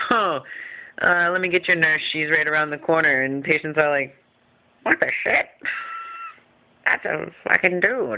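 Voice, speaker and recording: A man mumbles at a moderate pace with long, frequent pauses. His pitch is fairly high, with ordinary variation. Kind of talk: casual vlog update. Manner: mumbling. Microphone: phone recording.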